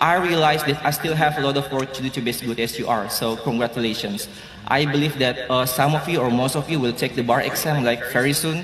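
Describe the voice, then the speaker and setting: Very fast speech with an Indonesian accent, fairly even intonation and noticeable background noise. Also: man, medium pitch for a man. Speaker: law graduate student. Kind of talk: graduation speech.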